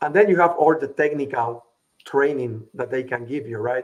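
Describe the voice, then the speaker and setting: A man talks at a moderate pace with a strong Latin American accent. His pitch sits in the medium range, with ordinary variation. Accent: heavy Latin. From Puerto Rico. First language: Spanish. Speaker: business consultant. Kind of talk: interview.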